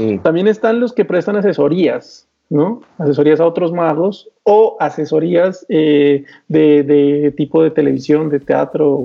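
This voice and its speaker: Fairly high in pitch, a man talks in a normal speaking voice at a fairly slow pace, with very even loudness and ordinary pitch variation. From Colombia. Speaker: magician and channel host. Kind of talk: casual chat.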